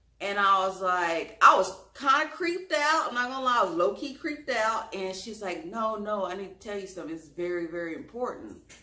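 Delivered in a Louisiana accent at a fairly quick clip with hardly any pauses, the voice swings widely in pitch and loudness while room echo is audible. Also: woman. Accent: Southern US, Louisiana. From US South, Louisiana. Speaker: YouTube vlogger. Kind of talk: storytelling, personal story time to camera. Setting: home video, solo to camera. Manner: conversational, chatty. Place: home room. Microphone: camera far.

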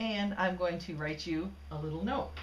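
There is light background noise and audible room echo. The speaker is a woman. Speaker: computer demonstrator. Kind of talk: casual talk. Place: home room.

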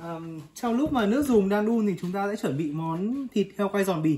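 The tone is dark and mellow with a slightly husky edge. Intonation is lively, and the pace is moderate.

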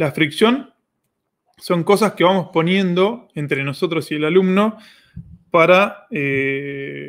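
Here a man speaks in a Rioplatense accent at a high pitch. His pitch variation is ordinary, and the background is quiet. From Argentina. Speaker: online course platform host. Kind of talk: live Q&A stream. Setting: livestream. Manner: animated. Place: home room.

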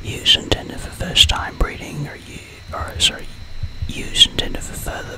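Noticeable background noise behind a moderate-paced whisper. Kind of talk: ASMR whispered educational narration of statistics. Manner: whispered, soft-spoken.

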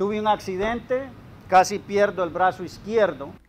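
Over light background noise, a man speaks at a fairly slow pace with a high pitch. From Honduras, Copán; Honduras. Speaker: coffee grower and retired executive. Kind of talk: interview. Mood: reflective, personal life story. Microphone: lapel.

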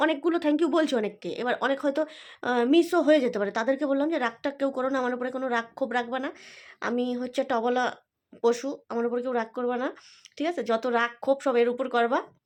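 In a high voice, a woman talks with usual pitch movement against a quiet background. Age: 40s. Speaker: vlogger and shopkeeper. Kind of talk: casual vlog.

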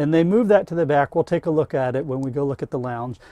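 In a dry recording with no echo and a quiet background, a man speaks with a dark, mellow tone. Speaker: van reviewer. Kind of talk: product walkthrough. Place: car. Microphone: camera far.

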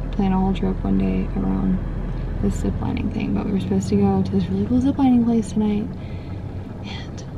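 Noticeable noise sits in the background, and the pace is moderate. The sound is dry, with no echo. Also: woman. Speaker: travel vlogger. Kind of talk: casual vlog chat. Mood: mildly disappointed but upbeat. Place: car. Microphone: phone near.

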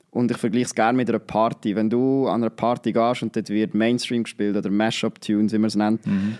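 Against a quiet background, a man talks at a very fast pace with hardly any pauses, in a monotone, flat intonation. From Switzerland, Nidwalden; Switzerland. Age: 20s. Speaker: student and social media creator; social media creator. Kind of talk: casual interview. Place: studio. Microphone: studio mic.

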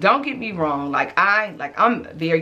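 Animated in tone, the voice keeps a moderate pace. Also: woman. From Arkansas. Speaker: fashion YouTuber. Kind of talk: casual vlog. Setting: home closet. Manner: loud. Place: home room.

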